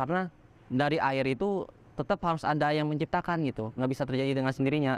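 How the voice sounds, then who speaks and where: At a very fast pace and a very even loudness, a man speaks with a fairly high pitch and ordinary pitch variation. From Bangka Belitung, Indonesia, Chinese-Indonesian. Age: 20s. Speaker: religious convert. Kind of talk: testimony interview. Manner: casual with hesitations and self-corrections.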